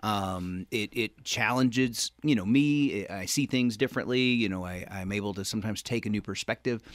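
A man with an unremarkable speaking voice talks at a fairly quick pace and fairly low pitch with ordinary pitch variation, the sound dry and close with no echo on a very clean recording with a silent background. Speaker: preacher.

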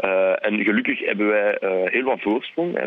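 This man talks at a moderate pace. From Belgium, Flanders (francophone family, Brussels/Charleroi roots). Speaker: TV chef. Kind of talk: casual chat. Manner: hesitant, many fillers.

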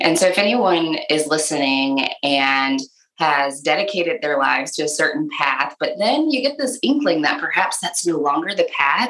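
A plain, everyday voice from a woman, fairly low-pitched, at a moderate pace with hardly any pauses, lively intonation and very even loudness. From Michigan. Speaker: author and speaker. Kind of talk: interview.

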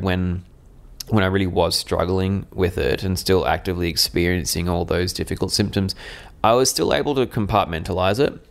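A man talks with an Australian accent. His pitch is very deep and low, and his loudness stays very even. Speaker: mental health advocate. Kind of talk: interview.

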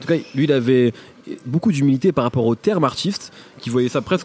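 A man with medium pitch talks at a very fast pace with ordinary pitch variation amid noticeable background noise. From Picardy. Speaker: podcast host, interviewer. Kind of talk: interview. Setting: hotel.

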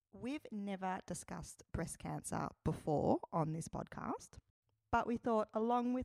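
A woman speaks fairly slowly in an unremarkable speaking voice, her intonation lively and the sound dry and close with no echo. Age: 40s. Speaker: podcast host. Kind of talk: scripted intro; interview. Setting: podcast.

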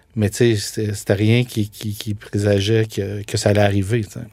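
A man talks in a fairly low pitch at a very slow pace. The recording is very clean, with a silent background. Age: 40s. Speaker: food entrepreneur, former media producer. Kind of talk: interview.

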